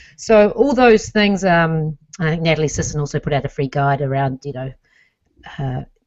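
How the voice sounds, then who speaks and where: Lively intonation colors this woman's very deep, low pitch. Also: moderate pace. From New Zealand. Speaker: lifestyle coach and podcaster. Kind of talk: interview conversation.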